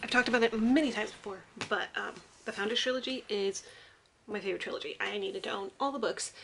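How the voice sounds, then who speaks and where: A woman at a very fast pace over light background noise. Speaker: book vlogger. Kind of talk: casual vlog chat. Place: home room. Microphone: phone near.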